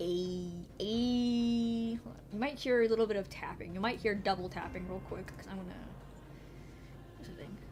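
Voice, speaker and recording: Fairly high-pitched and somewhat breathy, a woman speaks with fairly even intonation and long, frequent pauses. Her voice carries audible room echo. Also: moderate pace, big swings in loudness. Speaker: vtuber streamer. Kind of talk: casual gaming livestream chat.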